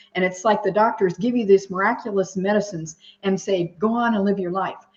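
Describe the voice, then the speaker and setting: A somewhat breathy woman's voice, medium in pitch, with ordinary pitch variation at a moderate pace. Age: 70s. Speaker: discussion group participant. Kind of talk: group video discussion.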